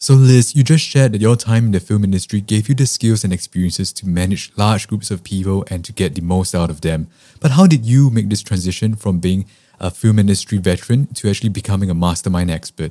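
Speaking at a very fast pace, a man keeps his pitch fairly low. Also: ordinary pitch variation. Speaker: podcast host. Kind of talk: interview.

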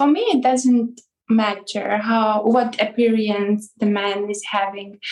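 This woman's voice is fairly high in pitch, with fairly even intonation. She talks at a very slow pace. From Ukraine. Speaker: webcam chat host. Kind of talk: interview. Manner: halting.

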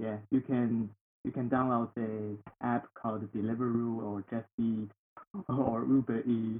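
In a Chinese accent, a man at medium pitch speaks with flat, monotone intonation at a fairly slow pace. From northeast China, Heilongjiang. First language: Mandarin Chinese. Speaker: international student. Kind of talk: casual interview.

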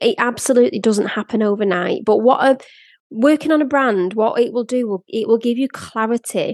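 Recorded with a dry, close sound and no echo, a woman speaks in a Lancashire accent at a high pitch. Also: lively intonation, moderate pace. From northern England, Blackpool. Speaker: podcast host and brand photographer. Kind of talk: personal storytelling monologue.

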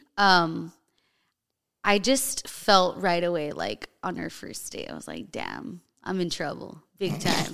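Speaking at a very slow pace with an American accent, a woman uses lively intonation and vocal fry, her loudness swinging widely. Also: fairly low pitch for a woman. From US, Colombian and Mexican heritage. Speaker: fitness trainer and bodybuilding competitor. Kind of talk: casual chat.

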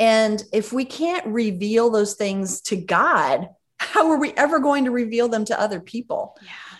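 Against a quiet background, a woman with a plain, everyday voice speaks at a fairly slow pace with lively intonation. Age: 50s. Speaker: ministry executive and podcast host. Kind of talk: casual chat.

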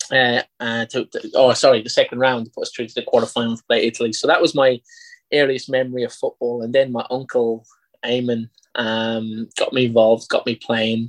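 A man with an Irish accent talks at a fairly quick pace in a medium pitch, with monotone, flat intonation. The sound is dry and close with no echo, over a quiet background. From Ireland, County Carlow. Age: 30s. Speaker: football coach. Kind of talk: interview.

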